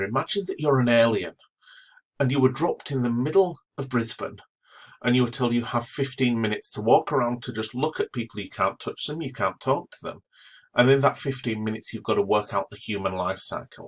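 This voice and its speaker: A man with an English accent speaks at a fairly quick pace and a medium pitch. His intonation is lively and his tone enthusiastic. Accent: English accent, noticeable. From northern England. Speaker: astronomy professor. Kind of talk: educational talk.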